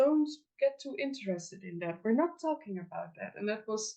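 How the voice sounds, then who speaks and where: Speaking at a moderate pace with a Dutch accent, a woman has a dark, mellow tone. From Netherlands. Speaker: folk magic practitioner and teacher. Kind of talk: interview. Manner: halting, many fillers.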